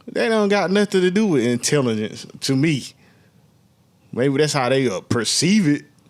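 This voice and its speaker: With a Southern US accent, a man speaks in a fairly high voice with very wide pitch swings and long, frequent pauses. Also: moderate pace. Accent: Southern US, country. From US South. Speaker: podcast co-host. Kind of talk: casual chat.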